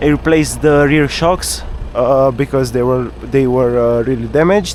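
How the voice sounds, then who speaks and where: A man with a non-native accent at a moderate pace, over noticeable background noise. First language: not English. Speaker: car vlogger. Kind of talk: casual driving vlog monologue. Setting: in a car, night drive. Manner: halting, many filler uhs and repetitions.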